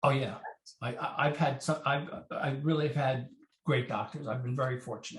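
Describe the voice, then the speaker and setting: A man talks in a somewhat breathy voice. His intonation stays fairly even. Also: fairly high pitch for a man, moderate pace. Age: 60s. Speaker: TV producer, heart transplant survivor. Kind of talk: interview. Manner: halting.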